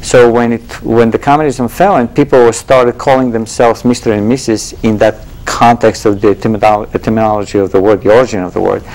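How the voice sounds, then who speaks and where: Over noticeable background noise, a man with a Bulgarian accent speaks at a fairly quick pace in a medium pitch with fairly even intonation. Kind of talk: interview answer.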